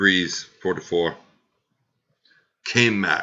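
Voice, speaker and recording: A man speaks quietly at a very slow pace. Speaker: fantasy football league podcast host. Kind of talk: casual podcast recap. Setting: at home at night, family sleeping. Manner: deliberately quiet, low volume.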